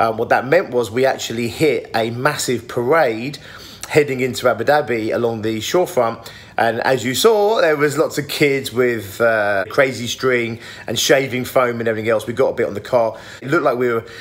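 A man's pitch varies ordinarily as he speaks at a moderate pace. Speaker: vlogger. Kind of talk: casual vlog chat. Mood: cheerful, amused. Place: home room. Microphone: phone near.

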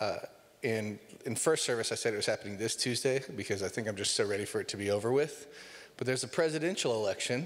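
The man talks at a very fast pace, and his pitch varies in an ordinary way. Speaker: pastor. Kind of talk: sermon. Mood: light, joking. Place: church. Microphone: handheld.

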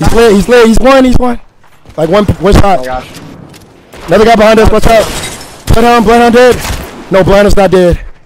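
With an American accent, a man speaks at a high pitch with ordinary pitch variation, and background noise is noticeable. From Florida. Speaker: gaming streamer. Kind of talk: live gameplay commentary. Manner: fast, animated.

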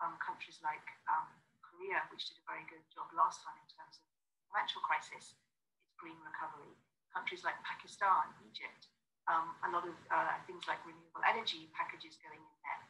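A woman talks at a fairly quick pace with big swings in loudness, over light background noise. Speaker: panelist. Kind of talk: conference panel answer. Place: home room. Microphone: earbuds.

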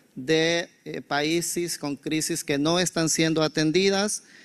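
A man's fairly high-pitched, fairly slow delivery with fairly even intonation in a normal speaking voice. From El Salvador. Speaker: humanitarian coordinator; speaker. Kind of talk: conference presentation. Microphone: handheld.

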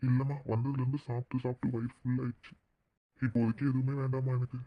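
In a cartoonish character voice, a man speaks at medium pitch and a moderate pace, with monotone, flat intonation. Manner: gentle, affectionate.

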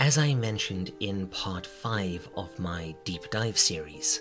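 A man speaks over background music. His pitch swings very widely. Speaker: video essayist. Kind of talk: casual analytical video narration.

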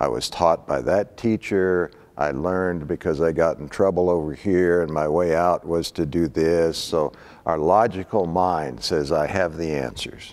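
At a fairly slow pace, a man speaks with a very deep, low pitch and ordinary pitch variation. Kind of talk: lecture. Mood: calm, reflective. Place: hall. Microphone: lapel.

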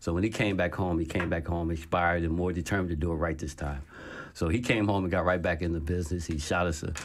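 Talking at a very fast pace, a man with an American accent uses a very deep, low pitch. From New Jersey, Trenton. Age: 50s. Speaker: entrepreneur and author. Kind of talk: interview. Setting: studio. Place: studio. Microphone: studio mic.

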